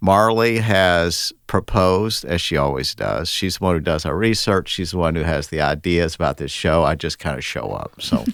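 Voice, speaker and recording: This man has a very deep, low pitch with vocal fry and lively intonation, speaking at a moderate pace on a very clean recording with a silent background. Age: 60s. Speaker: podcast host and estate attorney. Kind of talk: casual podcast discussion.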